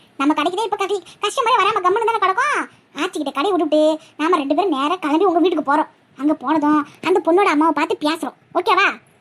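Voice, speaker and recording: In a cartoonish character voice, a woman with an extremely high pitch talks at a fairly quick pace with ordinary pitch variation. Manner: cheeky, confident.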